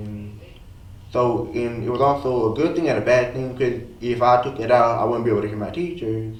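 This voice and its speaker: A man talks at a moderate pace and a medium pitch with fairly even intonation. Noticeable background noise runs under his voice. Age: young. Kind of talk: interview answer.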